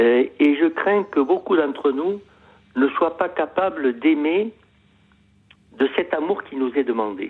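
A man talks at a very slow pace, with long, frequent pauses and lively intonation. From Montpellier, southern France. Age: 70s. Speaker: caller. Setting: phone call.

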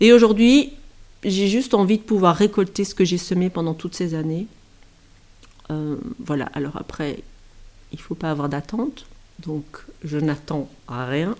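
A woman with a fairly low voice speaks at a fairly slow pace, her intonation lively and broken by long, frequent pauses. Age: 40s. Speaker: former maths teacher. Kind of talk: personal testimony. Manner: halting, many hesitations.

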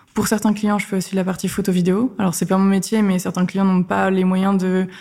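A somewhat breathy, dark and mellow voice in a flat monotone. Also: woman. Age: 20s. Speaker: freelance community manager. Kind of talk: interview. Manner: casual.

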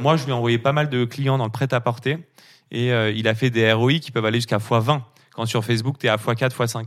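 In a normal speaking voice, a man talks at a fairly quick pace with medium pitch and fairly even intonation, on a very clean recording with a silent background. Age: 30s. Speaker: agency founder, entrepreneur. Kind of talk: interview.

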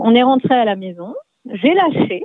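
Over music in the background, a woman with a high-pitched voice talks at a fairly slow pace, her pitch swinging very widely. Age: 40s. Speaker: parent guest. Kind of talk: casual chat.

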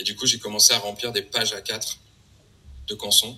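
A man speaks over noticeable background noise. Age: 40s. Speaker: artist. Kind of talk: interview. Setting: video call. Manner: halting.

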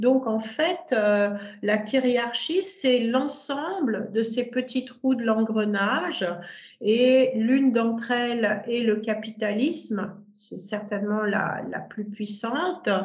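A fairly high-pitched woman at a very slow pace, ordinary pitch variation, audible room echo around her. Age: 60s. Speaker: sex therapist and tantra teacher. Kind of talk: interview conversation. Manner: hesitant, many fillers.

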